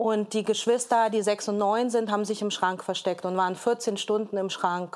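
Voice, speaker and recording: A woman's medium-pitched voice in monotone, flat intonation, at a moderate pace with hardly any pauses. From Hamburg, Germany. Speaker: entrepreneur and podcaster. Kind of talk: talk show discussion. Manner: hesitant, many fillers.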